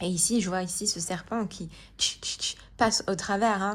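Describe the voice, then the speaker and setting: In a very clean recording with a silent background, a woman at medium pitch speaks at a very slow pace with fairly even intonation. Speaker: tarot card reader and wellbeing coach. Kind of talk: tarot reading guidance. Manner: calm, slow; hesitant with many fillers.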